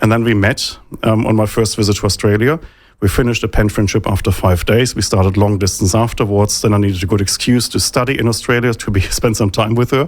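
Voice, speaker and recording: A man with a German accent talks at a very fast pace in a fairly low pitch. His loudness is very even and his intonation fairly even. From Germany. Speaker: think tank economist. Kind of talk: interview.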